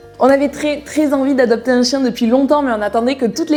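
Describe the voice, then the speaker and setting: A woman talks in an animated tone at a very fast pace over noticeable background noise. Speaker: equestrian YouTuber. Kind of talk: casual vlog.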